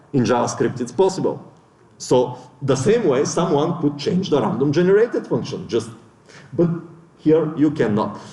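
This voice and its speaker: Lively intonation from a man with fairly high pitch at a moderate pace, with long, frequent pauses and audible room echo. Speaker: conference speaker. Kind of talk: lecture.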